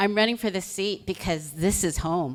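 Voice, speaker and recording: An ordinary speaking voice with an American accent moves at a moderate pace. Its pitch variation is ordinary. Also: woman. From Los Angeles, Koreatown area. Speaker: political candidate. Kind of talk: candidate opening statement.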